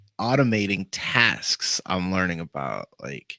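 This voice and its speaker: A man with a Boston accent and a fairly low, bright, sharp voice speaks fairly slowly in a very clean, dry, close recording with a silent background and no echo. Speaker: podcast host. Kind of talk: casual interview chat. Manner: animated.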